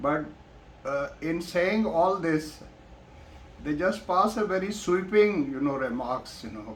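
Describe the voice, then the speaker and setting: A man with a Pakistani accent and lively intonation at a fairly slow pace, with audible room echo. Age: 70s. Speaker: retired professor and vlogger. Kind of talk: personal vlog monologue. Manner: hesitant, many fillers.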